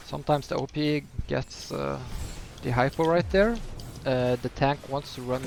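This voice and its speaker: A man talks at a moderate speed with noticeable noise in the background. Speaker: gaming tutorial creator. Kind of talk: tutorial. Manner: hesitant, many filler words.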